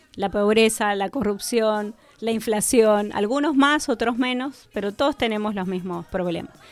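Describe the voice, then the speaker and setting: A woman speaks in a normal speaking voice with a fairly high pitch. Her pitch variation is ordinary, and her pace is fairly slow. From Argentina, Mendoza. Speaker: energy industry worker. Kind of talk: radio interview.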